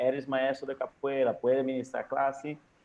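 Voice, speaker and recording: A man of medium pitch speaks with a non-native accent. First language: Portuguese (speaking Spanish). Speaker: capoeira teacher and academic. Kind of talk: guest talk in online meeting. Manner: halting.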